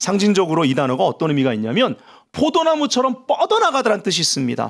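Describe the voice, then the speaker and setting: A man speaks loud and with an animated tone, his pitch swinging very widely, in a very clean recording with a silent background. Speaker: pastor. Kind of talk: sermon. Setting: church prayer meeting with audience.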